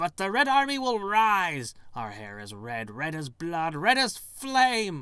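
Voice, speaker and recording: A man speaks in a put-on character voice, high-pitched, at a fairly slow pace with hardly any pauses. His pitch swings very widely and his loudness rises and falls sharply. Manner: defiant, through clenched teeth.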